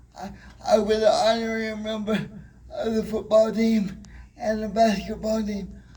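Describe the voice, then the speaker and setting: High-pitched male voice at a moderate pace, with audible room echo. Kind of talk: motivational talk. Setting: stage with audience. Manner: halting.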